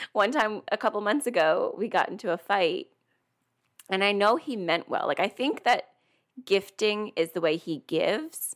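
A woman with an ordinary speaking voice talks at a moderate pace and medium pitch, her intonation lively. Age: 30s. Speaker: podcast co-host. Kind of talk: casual chat.

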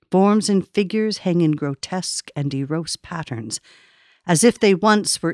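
A woman with an unremarkable speaking voice talks with lively intonation, the sound dry and close with no echo. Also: very clean recording, silent background. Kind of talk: poetry reading. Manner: solemn, slow, hushed.

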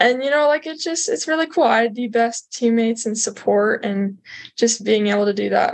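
With an American accent, a woman talks at a fairly quick pace in an ordinary speaking voice. Her pitch is fairly high, and her intonation is lively. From southern Utah / Las Vegas, Nevada. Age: young. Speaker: student athlete. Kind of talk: interview testimony.

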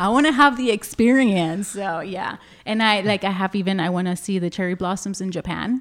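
Here a woman with an American accent has a plain, everyday voice, medium in pitch with ordinary pitch variation, speaking at a fairly quick pace in a very clean recording with a silent background. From Laredo, Texas. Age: 30s. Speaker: self-care and anti-abuse advocate. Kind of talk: interview.

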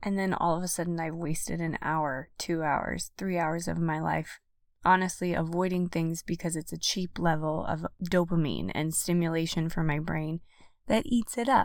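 An ordinary speaking voice moves at a moderate pace with fairly even intonation, recorded very cleanly against a silent background. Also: woman, fairly low pitch for a woman. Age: 30s. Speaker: podcast host. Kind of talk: solo podcast monologue. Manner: warm, encouraging.

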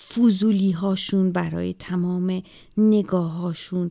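Here is a woman with a dark, mellow tone at a medium pitch. The recording is very clean, the background silent. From Iran. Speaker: podcaster telling her life story. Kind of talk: personal storytelling monologue.

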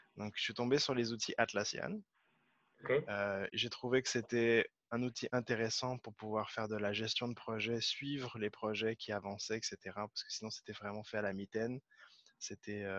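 In a dry, close recording with no echo and a quiet background, a man speaks. His pitch is medium and his intonation fairly even. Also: moderate pace. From France, Paris region. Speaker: Scrum Master. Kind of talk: interview. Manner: halting, many repeated words.

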